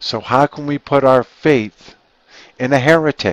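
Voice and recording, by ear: A man talks at a medium pitch and a fairly slow pace, with ordinary pitch variation. The sound is dry and close, with no echo.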